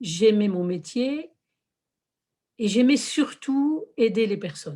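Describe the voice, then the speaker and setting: At a very slow pace, a woman with a fairly high pitch talks in a somewhat breathy way. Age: 60s. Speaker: lay religious community worker. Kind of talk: testimony. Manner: hesitant, with fillers.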